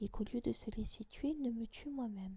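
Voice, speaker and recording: A woman is speaking. She whispers. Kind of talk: audiobook reading of a classic essay. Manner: whispered.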